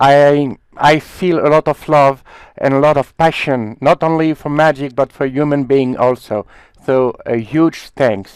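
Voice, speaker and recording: Speaking at a fairly slow pace with a French accent, a man uses fairly high pitch and fairly even intonation, recorded dry and close with no echo. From France. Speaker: magician, country representative. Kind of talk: thank-you speech in a meeting.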